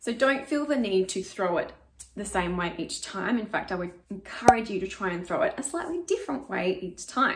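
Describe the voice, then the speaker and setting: A woman talks at a moderate pace. Noticeable background noise runs underneath. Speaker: acting coach. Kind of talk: tutorial. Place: home room. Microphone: camera far.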